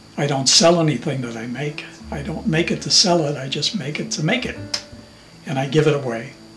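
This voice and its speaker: A man's fairly high voice at a fairly quick pace, with ordinary pitch variation, audible room echo and music in the background. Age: 70s. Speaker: woodworker. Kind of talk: interview. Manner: halting.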